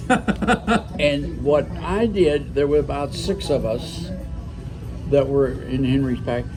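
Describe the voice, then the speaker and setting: Music in the background behind a man speaking at a very slow pace. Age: 80s+. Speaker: retired automotive engineer. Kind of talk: interview answer. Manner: hesitant, conversational.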